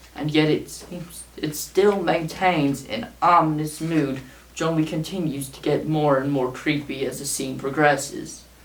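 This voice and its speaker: A man at a fairly high pitch and fairly slow pace, with fairly even intonation, hardly any pauses and big swings in loudness, amid audible room echo and noticeable background noise. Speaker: small YouTuber, show commentator. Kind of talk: scripted video essay read aloud. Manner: monotone; read from a script.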